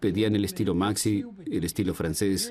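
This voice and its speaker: At a moderate pace, a dark, mellow tone comes through a very clean recording with a silent background. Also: man. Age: old. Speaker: barber. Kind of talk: interview.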